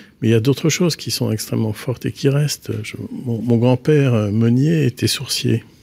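This man's tone is dark and mellow. He sits at a medium pitch, and his pitch varies in an ordinary way. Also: moderate pace, hardly any pauses. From Brittany, north Finistère. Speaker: architect. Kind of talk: interview. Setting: studio. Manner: halting.

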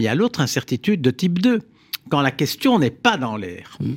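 This man's pitch swings very widely as he talks at a fairly quick pace. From Belgium. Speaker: philosopher and engineer, author. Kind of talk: radio interview.

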